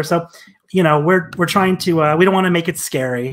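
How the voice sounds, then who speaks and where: With a quiet background, a man speaks with ordinary pitch variation. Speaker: guest. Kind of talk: interview answer.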